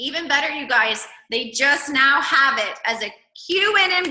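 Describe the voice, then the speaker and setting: A woman's raised, projected voice at a high pitch. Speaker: network marketing team leader. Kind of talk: video call presentation. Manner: animated; loud.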